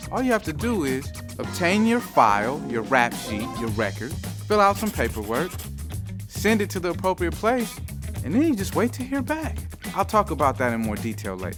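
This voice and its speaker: The speaker talks at a moderate pace while music plays in the background. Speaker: spoken word artist, host. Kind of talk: mock infomercial host talk to camera.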